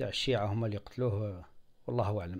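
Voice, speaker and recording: A man speaks with an Algerian accent. His tone is dark and mellow. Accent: Algerian Arabic with French loanwords. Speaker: software tutorial video maker. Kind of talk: screen-recorded tutorial. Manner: halting, many fillers.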